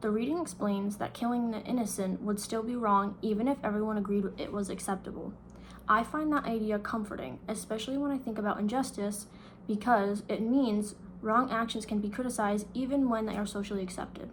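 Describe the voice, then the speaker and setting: A woman with a fairly high pitch speaks at a fairly quick pace. Her intonation is fairly even, and audible room echo is present. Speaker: student. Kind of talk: reading aloud.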